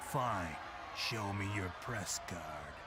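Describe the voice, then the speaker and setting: A man uses a put-on character voice with a fairly low pitch. Loud background noise fills the recording. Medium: video game. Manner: officious, dry.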